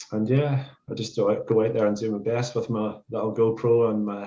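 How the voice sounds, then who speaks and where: A man with a Northern Irish accent speaks in a fairly low pitch with a dark, mellow tone. His intonation is fairly even and his pace moderate. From Northern Ireland. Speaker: vegan street activist. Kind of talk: casual podcast chat.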